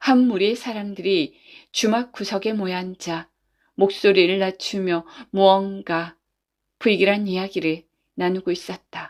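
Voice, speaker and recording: A woman talks at a fairly slow pace with long, frequent pauses and fairly even intonation, on a very clean recording with a silent background. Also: medium pitch for a woman. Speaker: voice actor. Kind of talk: bedtime folk tale reading. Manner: soft-spoken, calm.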